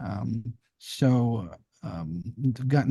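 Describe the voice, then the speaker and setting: The tone is dark and mellow. The sound is dry and close, with no echo. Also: man. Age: 60s. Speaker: military community advocate. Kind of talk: casual chat. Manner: halting.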